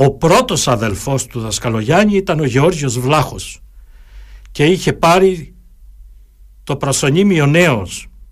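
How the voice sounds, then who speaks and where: On a very clean recording with a silent background, a man speaks at a very slow pace with long, frequent pauses. His somewhat breathy voice is fairly high in pitch, with lively intonation. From Crete, Heraklion area. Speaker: lawyer and local historian. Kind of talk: radio interview. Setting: studio. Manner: formal.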